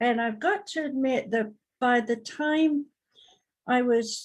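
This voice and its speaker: A woman speaks at a fairly slow pace with a British accent. The background is quiet. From Britain. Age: 70s. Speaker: psychic medium and talk show host. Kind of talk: talk show discussion. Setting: live online broadcast.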